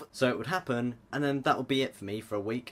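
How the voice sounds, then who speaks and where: With a British accent, a man talks at a fairly quick pace over noticeable background noise. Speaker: vlogger. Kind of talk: personal vlog. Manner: casual, self-deprecating.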